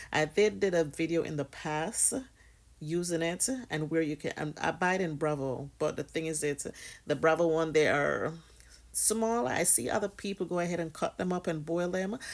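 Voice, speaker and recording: A woman's fairly low voice in a Jamaican accent, with ordinary pitch variation, on a very clean recording over a silent background. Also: moderate pace. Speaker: hair care vlogger, mother. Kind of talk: casual tutorial vlog.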